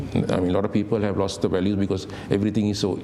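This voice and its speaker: Very fast and at a fairly low pitch, a man talks amid noticeable background noise and audible room echo. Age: 60s. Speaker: hotel manager. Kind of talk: interview. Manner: halting, with many fillers.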